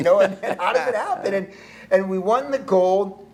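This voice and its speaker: Over noticeable background noise, a man with an American accent talks at a moderate pace and a high pitch. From California. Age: 60s. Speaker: pro surfer turned pastor and author. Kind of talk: casual interview chat.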